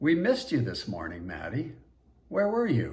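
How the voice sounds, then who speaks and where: Putting on a character voice, a man talks in a sing-song way at a moderate pace and medium pitch, with audible echo around him. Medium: read story. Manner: sing-song lilt.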